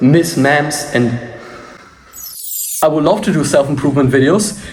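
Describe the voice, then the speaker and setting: Pausing long and often, a man talks in a fairly high pitch at very even loudness. Noticeable background noise and audible room echo surround him. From Germany. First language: German. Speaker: martial arts instructor. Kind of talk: tutorial. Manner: casual.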